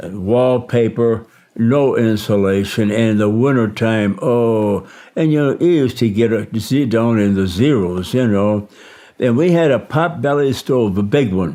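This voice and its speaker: In a Midwestern US accent, the speaker talks at a fairly slow pace with a dark, mellow tone. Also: man. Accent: US Midwest. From Michigan, US Midwest. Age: 90s. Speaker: war veteran. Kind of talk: interview testimony. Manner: halting.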